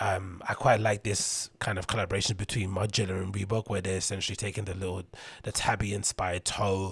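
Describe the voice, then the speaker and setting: Fairly low-pitched and somewhat breathy, a man talks at a fairly quick pace in a monotone, flat intonation, with a dry sound and no echo. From London, England. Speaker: podcast host and DJ; podcast host, DJ. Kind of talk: solo casual monologue. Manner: rambling, conversational. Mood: relaxed, wry. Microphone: studio mic.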